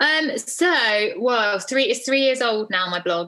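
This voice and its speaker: A woman with a southern English accent. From southeast England. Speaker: parenting author and blogger. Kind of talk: casual chat.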